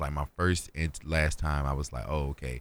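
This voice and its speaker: A very clean recording with a silent background, with an American accent. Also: man. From North Carolina, US. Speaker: musician, recording artist. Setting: radio studio. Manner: animated, chatty.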